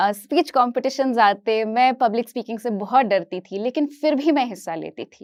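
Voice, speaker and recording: This woman has a high-pitched voice. She speaks with a Kashmiri accent. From Kashmir, India; later Hyderabad. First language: Kashmiri (speaking Hindi). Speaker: educator, motivational speaker. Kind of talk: inspirational talk on stage.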